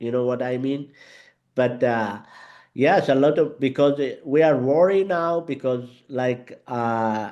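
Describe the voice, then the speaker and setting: Over a quiet background, a man speaks at a medium pitch in a dark, mellow tone with ordinary pitch variation. He goes at a fairly slow pace, with long, frequent pauses. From Yemen. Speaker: Arabic teacher. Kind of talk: interview conversation. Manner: halting, many fillers.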